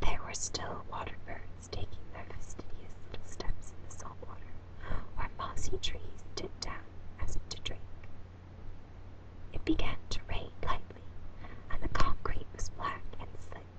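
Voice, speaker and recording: Someone whispers with long, frequent pauses. Noticeable background noise is present. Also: fairly slow pace. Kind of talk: audiobook reading, whispered. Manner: whispered.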